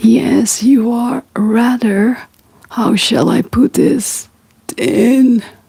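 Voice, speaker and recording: A woman's put-on character voice, wheezy and fairly high, at a very slow pace with fairly even intonation. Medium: read story.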